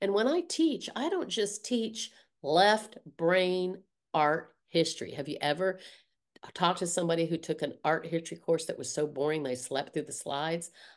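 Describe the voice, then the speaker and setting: A woman with an American accent and an unremarkable speaking voice talks at a moderate pace against a quiet background. Her pitch is fairly low, with ordinary variation. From US South. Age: 60s. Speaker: art teacher and artist. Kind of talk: casual interview conversation.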